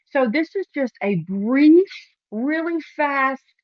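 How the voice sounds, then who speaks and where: A woman with a high-pitched voice sounds animated, her intonation lively. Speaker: realtor. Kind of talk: promotional talk to camera.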